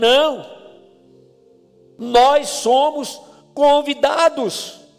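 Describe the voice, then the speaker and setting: There is music behind the voice. The man talks extremely slowly. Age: 60s. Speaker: pastor. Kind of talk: sermon. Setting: church.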